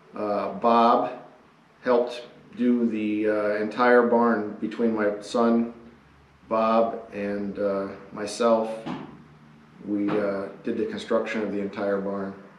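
A man talks very slowly in a fairly low, monotone, flat voice. Audible room echo surrounds him. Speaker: channel host. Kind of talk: casual project narration. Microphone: camera far.

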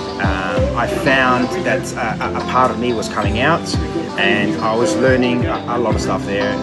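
Loud music plays in the background as a man speaks at a fairly slow pace. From Adelaide, South Australia. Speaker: chef and restaurant owner. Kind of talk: interview answer. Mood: calm, reflective. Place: cafe. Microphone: phone near.

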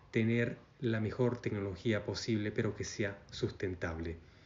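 A man speaks at a fairly slow pace in a somewhat breathy voice with ordinary pitch variation. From Argentina. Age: 40s. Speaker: network marketing recruiter; presenter. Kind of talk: sales pitch. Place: home room. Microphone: phone near.

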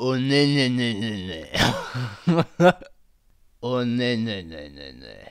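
Using a raspy, put-on character voice at a medium pitch, a man speaks with long, frequent pauses. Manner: panicked, pleading.

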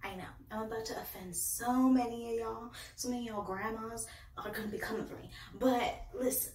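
A woman's fairly quick, fairly even speech, with audible room echo and light background noise. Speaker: book reviewer. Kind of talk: casual vlog chat. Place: home room.

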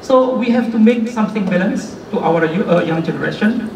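This man speaks at a fairly slow pace with ordinary pitch variation. Noticeable background noise runs under the recording. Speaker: guest. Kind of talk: speech. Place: hall.

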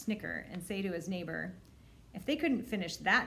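An unforced reading voice carries the whole clip.

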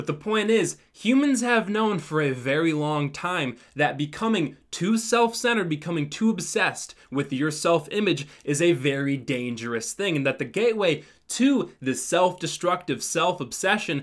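Over a quiet background, a man talks at a moderate pace with hardly any pauses and very wide pitch swings. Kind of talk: comedic commentary. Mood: ironic, mock-serious. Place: home room.

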